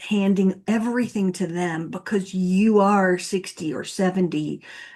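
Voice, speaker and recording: A woman with an unremarkable speaking voice, medium pitch and a fairly slow pace, in a quiet background. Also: hardly any pauses. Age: 60s. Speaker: divorce coach and podcast host. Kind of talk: interview conversation.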